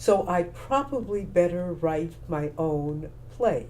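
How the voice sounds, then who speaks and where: A woman with an American accent talks while the room's echo is clearly audible. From Texas, Houston. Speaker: playwright, former broadcaster and actor. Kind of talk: interview. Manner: measured, with hesitations.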